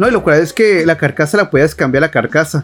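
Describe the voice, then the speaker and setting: A man with a Mexican accent speaks with lively intonation. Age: 20s. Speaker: podcast host. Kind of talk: solo casual monologue. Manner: halting.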